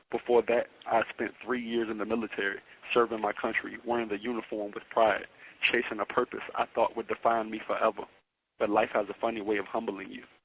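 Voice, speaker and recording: The speaker talks at a fairly quick pace with monotone, flat intonation. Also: man, medium pitch for a man. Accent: Virginia. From Danville, Virginia, USA. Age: 20s. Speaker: incarcerated podcast host, military veteran. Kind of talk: motivational spoken-word speech.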